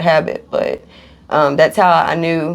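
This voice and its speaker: The voice carries a Kentucky accent. The pace is fairly slow. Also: woman. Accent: Kentucky Southern US. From Kentucky, Louisville. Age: 30s. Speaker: recovering addict. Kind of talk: interview testimony. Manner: halting, many fillers.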